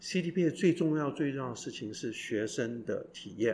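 Lively intonation marks a man's speech, which moves at a fairly quick pace. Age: 60s. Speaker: professor, former executive. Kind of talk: interview. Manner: hesitant, many fillers.

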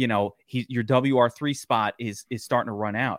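A man's moderate-paced, medium-pitched, fairly even delivery in an American accent, with a normal speaking voice. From Brooklyn, New York. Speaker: fantasy football analyst. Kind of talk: casual chat.

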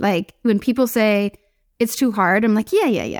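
In an American accent, a woman is heard on a very clean recording with a silent background and a dry, close sound with no echo. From US West Coast, San Diego. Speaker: fashion brand founder. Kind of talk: interview.

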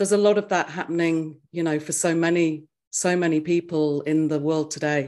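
In a very clean recording with a silent background, a woman with an English accent talks at a moderate pace in a fairly low pitch with fairly even intonation. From England. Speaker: spiritual teacher. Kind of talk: interview. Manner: soothing.

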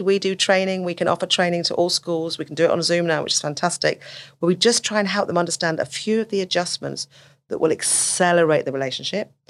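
A woman with a fairly low pitch is heard on a very clean recording with a silent background. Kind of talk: casual interview conversation. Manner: fast talker.

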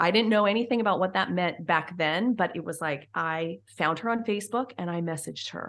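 A woman speaks at a moderate pace in an ordinary speaking voice, fairly low in pitch. Her pitch variation is ordinary, and the background is quiet. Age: 40s. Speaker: former teacher and mom podcaster. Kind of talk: interview.

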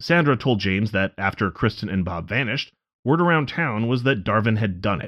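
Lively intonation marks a man's fairly low voice, an unremarkable speaking voice delivered at a fairly quick pace. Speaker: podcast co-producer and narrator. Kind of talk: true-crime narration. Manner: measured, factual, serious.

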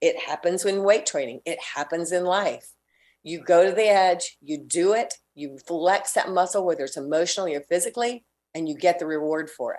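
On a very clean recording with a silent background, a woman with a fairly low pitch and an ordinary speaking voice talks at a moderate pace, with ordinary pitch variation and big swings in loudness. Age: 60s. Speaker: fitness entrepreneur. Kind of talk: interview.

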